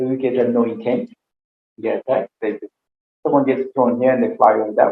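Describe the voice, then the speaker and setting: At a moderate pace, a man talks with a non-native accent. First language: not English. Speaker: aikido teacher and interviewer. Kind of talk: casual interview chat.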